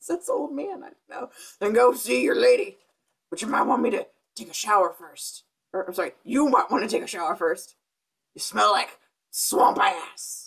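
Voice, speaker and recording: A man puts on a raspy, high-pitched character voice. He talks at a moderate pace with long, frequent pauses. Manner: gruff, blunt, teasing.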